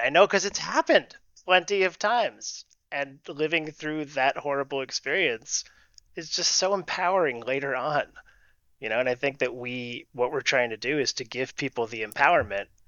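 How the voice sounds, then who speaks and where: This is a normal speaking voice from a man with a fairly high pitch. He moves at a moderate pace with lively intonation. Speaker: improv and leadership coach. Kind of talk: casual interview chat.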